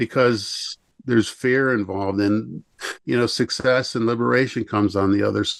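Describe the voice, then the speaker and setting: Against a quiet background, a man with an ordinary speaking voice and an American accent talks at a moderate pace and medium pitch, with ordinary pitch variation and very even loudness. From Chicago area. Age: 50s. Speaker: self-help coach and energy healer. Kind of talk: podcast interview.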